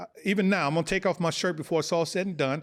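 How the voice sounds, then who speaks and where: An American-accented man with a high pitch and ordinary pitch variation sounds animated, captured on a very clean recording with a silent background. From Los Angeles (South Central), California. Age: 60s. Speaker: former pro football player and TV gladiator. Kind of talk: podcast interview.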